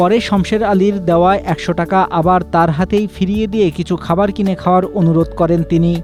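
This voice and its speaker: Music plays behind a man with a high pitch. He speaks in a monotone, with flat intonation and very even loudness. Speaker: news reporter. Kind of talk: news report narration.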